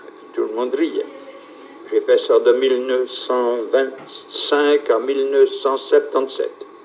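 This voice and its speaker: Fairly slow male speech with noticeable background noise. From Swiss Jura, Ajoie. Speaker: village town crier. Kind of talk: interview answer.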